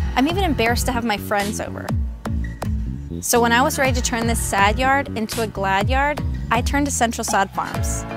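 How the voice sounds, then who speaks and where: Clear music plays in the background as a woman talks, and the sound is dry with no echo. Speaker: voice actor. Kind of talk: TV commercial read.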